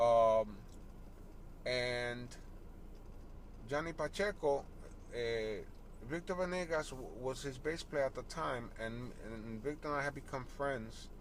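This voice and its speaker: A man at a medium pitch with an American accent, at a fairly slow pace, with ordinary pitch variation and long, frequent pauses. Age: 60s. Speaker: salsa bassist. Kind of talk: casual interview. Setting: in a parked car.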